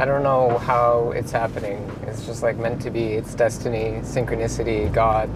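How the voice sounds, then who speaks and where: The speech moves at a moderate pace. The sound is dry with no echo, though noticeable background noise is present. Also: man. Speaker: travel vlogger driving. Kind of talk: casual vlog chat. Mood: calm, thoughtful. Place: car. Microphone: lapel.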